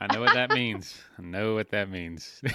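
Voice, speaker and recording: In a dry, close recording with no echo and a silent background, a man talks in a bright, sharp tone with a slight Southern US accent and ordinary pitch variation. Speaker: podcast host. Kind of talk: interview. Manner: laid-back.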